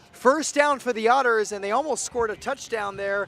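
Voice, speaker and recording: Music plays in the background as a man uses a raised, projected voice at a high pitch. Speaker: play-by-play sports commentator. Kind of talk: live commentary. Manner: loud, yelling; animated.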